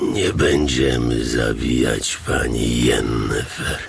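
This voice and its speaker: A man performs a put-on character voice at a fairly slow pace. Loud background noise fills the recording. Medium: audio drama. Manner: calm, measured.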